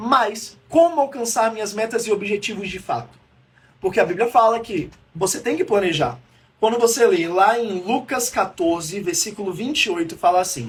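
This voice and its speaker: This man's voice sits high in pitch and has lively intonation. His tone is animated. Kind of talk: live-streamed teaching talk. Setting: livestream. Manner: fast.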